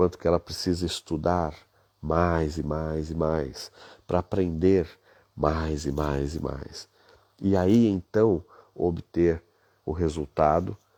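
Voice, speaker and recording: Very slow and soft-spoken, a man with a very deep, low pitch and a dark, mellow tone talks with fairly even intonation and long, frequent pauses. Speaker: business leadership coach. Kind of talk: live stream talk. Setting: hotel room at night.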